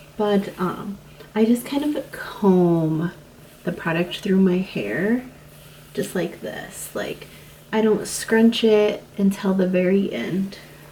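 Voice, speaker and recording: A quiet woman's voice at a medium pitch, very slow, with ordinary pitch variation. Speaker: lifestyle vlogger. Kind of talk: casual tutorial.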